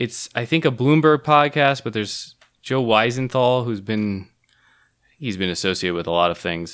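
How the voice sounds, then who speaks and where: In a very clean recording with a silent background, a man with an unremarkable speaking voice talks at a moderate pace and medium pitch with lively intonation. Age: 40s. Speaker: podcast co-host. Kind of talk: casual chat.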